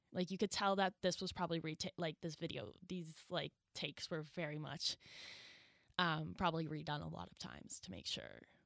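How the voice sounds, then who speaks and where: In a very clean recording with a silent background and a dry, close sound free of echo, a woman speaks at a very deep, low pitch with vocal fry, ordinary pitch variation, big swings in loudness and a fairly quick pace. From New Brunswick, Canada. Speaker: podcast co-host, media production student. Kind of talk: casual chat.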